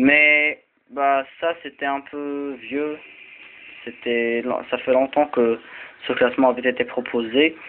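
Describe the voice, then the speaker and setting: In an Arabic accent, a man with a fairly high pitch talks at a very slow pace in a monotone, flat intonation, with long, frequent pauses. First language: Arabic (speaking French). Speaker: video blogger. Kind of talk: explainer talk. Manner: halting, many fillers and repeats.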